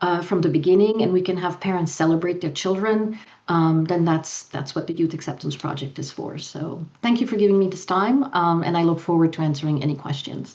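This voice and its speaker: Against audible room echo, a woman speaks at a fairly quick pace with hardly any pauses. Her pitch is fairly low and varies in an ordinary way. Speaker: youth and family program director. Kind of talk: conference presentation; panel Q&A answer. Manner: fast; halting, many fillers.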